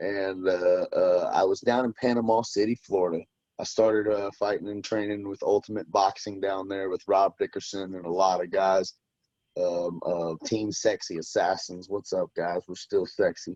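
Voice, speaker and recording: A man speaks at a moderate pace with a slight Southern US accent. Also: dry, close sound with no echo. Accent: slight southern country twang. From US South, western Tennessee near Memphis. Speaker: bare knuckle fighter. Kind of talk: casual interview chat.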